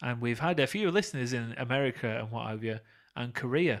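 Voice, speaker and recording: In a very clean recording with a silent background, a man with a Lancashire accent speaks at a moderate pace. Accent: Burnley. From northern England, Burnley, Lancashire. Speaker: podcast co-host. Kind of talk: casual chat.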